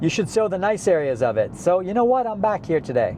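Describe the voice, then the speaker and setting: An animated man with an American accent talks at a fairly quick pace, his pitch swinging very widely. Noticeable background noise runs behind him. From western New York. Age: 50s. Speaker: travel vlogger. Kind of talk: vlog narration to camera. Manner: casual, animated.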